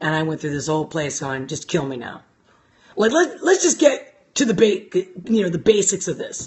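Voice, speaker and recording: A woman talks at a moderate pace in a somewhat breathy voice. Her pitch swings very widely, and her loudness swings a lot. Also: medium pitch for a woman. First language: not English. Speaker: life coach. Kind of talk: casual live-stream talk. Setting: live stream. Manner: animated.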